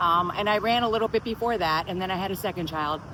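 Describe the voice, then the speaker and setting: Over noticeable background noise, a woman with an American accent talks very fast at a medium pitch, her intonation lively. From Miami, Florida. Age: 60s. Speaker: personal trainer and spinning instructor. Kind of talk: casual talk to camera.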